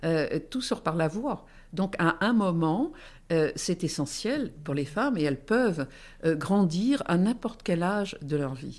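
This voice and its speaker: The speech moves at a very slow pace in a very clean recording with a silent background. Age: 70s. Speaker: entrepreneur and forum founder. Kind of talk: interview. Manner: hesitant, many fillers.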